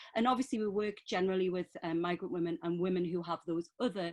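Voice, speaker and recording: A woman with a Geordie accent speaks at a fairly quick pace and medium pitch with ordinary pitch variation. The sound is dry and close with no echo. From northeast England. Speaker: women's centre worker. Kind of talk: panel talk.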